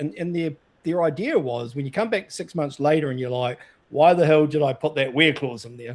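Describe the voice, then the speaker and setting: A man with a New Zealand accent, his pitch fairly high, with ordinary pitch variation and a fairly quick pace. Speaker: data consultant and show host. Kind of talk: casual chat.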